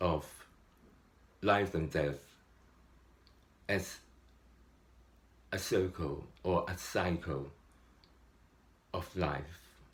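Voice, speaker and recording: Over background music, a man with a very deep, low voice speaks very slowly with fairly even intonation and long, frequent pauses. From Hong Kong. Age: 60s. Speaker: meditator. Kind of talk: casual spiritual talk to camera.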